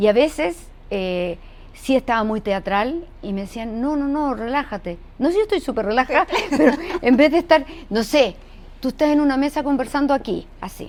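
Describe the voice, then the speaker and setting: Her high voice swinging very widely in pitch, a woman speaks at a moderate pace. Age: 70s. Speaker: actress and voice actor. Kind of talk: casual interview chat.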